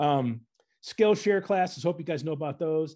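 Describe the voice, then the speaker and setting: A man with an Upper Midwest accent has a fairly high pitch and a dark, mellow tone, talking at a fairly quick pace with lively intonation over a quiet background. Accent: Upper Midwest American. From Northern Michigan, US Midwest. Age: 40s. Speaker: graphic designer. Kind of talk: presentation talk to an audience. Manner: animated, casual.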